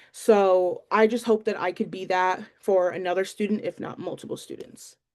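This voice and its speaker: A woman with an American accent, medium-pitched and monotone, at a moderate pace. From northeastern Pennsylvania, Lackawanna County. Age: 20s. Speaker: student teacher. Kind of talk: class introduction video. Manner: hesitant, many fillers.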